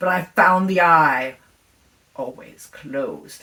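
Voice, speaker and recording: A woman's fairly low pitch and lively intonation at a very slow pace. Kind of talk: gothic horror reading. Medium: read story. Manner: intense, feverish, insistent.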